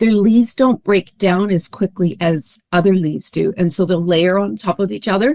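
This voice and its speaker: A woman with a Canadian accent and an unremarkable speaking voice, medium in pitch with ordinary pitch variation, at a fairly quick pace, in a dry, close sound with no echo. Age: 60s. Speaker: founder and guest on a wellness podcast. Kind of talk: personal testimony in an interview.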